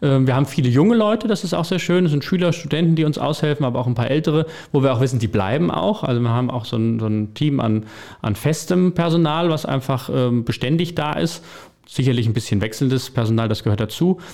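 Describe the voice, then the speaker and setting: A man with a fairly high pitch and a dark, mellow tone talks at a very fast pace, his intonation lively and his loudness very even. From Hesse, Vogelsberg. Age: 30s. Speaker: bar owner and restaurateur. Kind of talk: interview.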